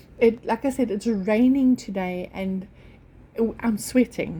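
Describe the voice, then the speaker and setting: With a non-native accent, a woman speaks fairly slowly at a fairly high pitch, her dark, mellow tone somewhat breathy and her pitch variation ordinary. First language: not English. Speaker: orchid grower YouTuber. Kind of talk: casual vlog talk. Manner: halting, many fillers.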